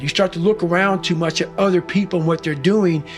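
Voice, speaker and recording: Over music in the background, a man with an American accent talks at a fairly quick pace and a high pitch. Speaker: motivational speaker. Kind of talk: interview answer. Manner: raw, unapologetic, blunt.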